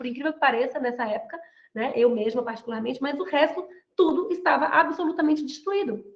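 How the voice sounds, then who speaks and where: A woman with a Brazilian accent speaks at a very fast pace in a high voice with lively intonation. Room echo is audible. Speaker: mentor and body language lecturer. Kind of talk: online lecture. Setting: video call. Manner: animated.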